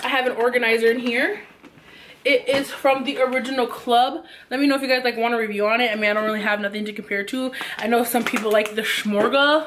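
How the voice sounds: A woman's fairly high, fairly bright voice at a fast pace, with fairly even intonation and audible room echo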